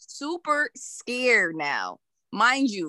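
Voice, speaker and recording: In a Brooklyn accent, a woman with a high pitch and a bright, sharp tone speaks very slowly with very wide pitch swings, the sound dry and close with no echo. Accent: New York, Brooklyn-sounding. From Connecticut. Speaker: podcaster. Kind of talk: casual chat.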